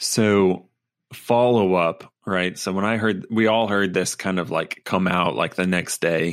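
Speaking at a fairly slow pace, a man with an American accent has a very deep, low pitch and ordinary pitch variation, on a very clean recording with a silent background. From US South. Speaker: sports podcast co-host. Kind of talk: casual chat.

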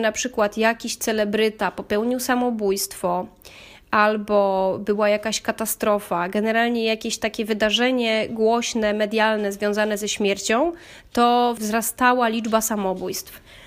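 A woman with a plain, everyday voice and fairly high pitch speaks at a moderate pace. Her intonation is fairly even, on a very clean recording with a silent background. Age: 30s. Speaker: podcaster, psychology student. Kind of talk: personal monologue.

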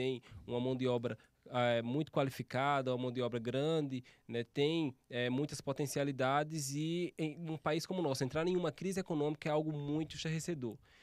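This man has a plain, everyday voice, talking at a moderate pace with fairly even intonation on a very clean recording with a silent background. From Alagoas, Brazilian Northeast (interior). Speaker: economist. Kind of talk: casual chat.

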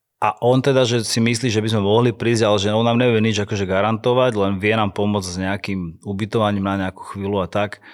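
A man talks at a very fast pace with hardly any pauses. His fairly low voice has monotone, flat intonation. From Slovakia, Handlová. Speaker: dancer and choreographer. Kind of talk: casual interview.

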